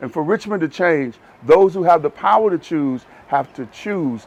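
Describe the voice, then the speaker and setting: This man has an unremarkable speaking voice with an American accent, lively intonation and a moderate pace. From US South. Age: 60s. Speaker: pastor. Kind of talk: interview.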